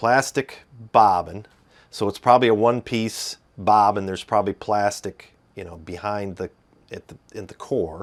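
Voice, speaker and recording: Fairly even intonation in a Midwestern accent, on a very clean recording with a silent background. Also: man, fairly low pitch for a man, moderate pace, big swings in loudness. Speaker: guitar reviewer. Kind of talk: tutorial. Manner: halting.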